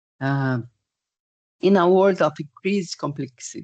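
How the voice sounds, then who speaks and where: In a Portuguese accent, a woman speaks at a very slow pace with ordinary pitch variation, her sound dry and close with no echo against a quiet background. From Portugal. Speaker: project management expert. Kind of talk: webinar presentation and Q&A. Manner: halting, many fillers.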